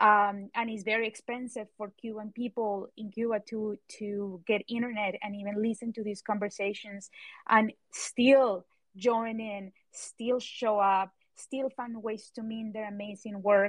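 The voice moves at a fairly slow pace in a monotone, flat intonation. Its loudness swings widely. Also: woman, fairly high pitch for a woman. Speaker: podcast host. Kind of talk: casual chat. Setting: live audio chat room.

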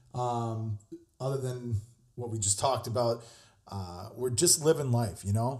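A man speaks at a fairly slow pace with long, frequent pauses, his medium-pitched voice somewhat breathy and dark and mellow in tone, with ordinary pitch variation. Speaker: podcast host, chef. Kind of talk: casual monologue. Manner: casual, halting with fillers.

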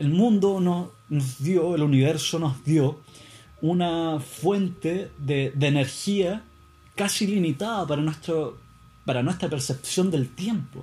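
A man with a Chilean accent, a dark, mellow tone, ordinary pitch variation and a very slow pace. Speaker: podcaster. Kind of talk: casual monologue.

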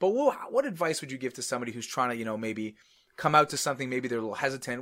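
Delivered at a very fast pace, the speech has big swings in loudness. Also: man. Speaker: rabbi, podcast host. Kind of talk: casual chat. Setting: studio.

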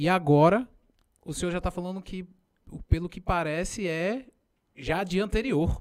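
Pausing long and often, a man speaks at a high pitch with big swings in loudness and ordinary pitch variation. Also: moderate pace. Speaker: podcast host. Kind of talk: casual chat. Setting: studio.

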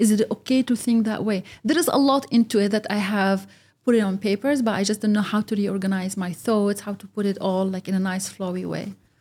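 Somewhat breathy, a woman speaks at a fairly quick pace with a medium pitch, fairly even intonation and a dark, mellow tone. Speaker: podcast guest, office professional. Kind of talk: casual interview chat. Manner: halting.

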